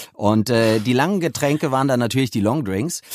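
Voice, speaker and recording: The man's voice is medium in pitch, with ordinary pitch variation. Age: 50s. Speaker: audiobook producer. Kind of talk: interview. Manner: halting, many fillers.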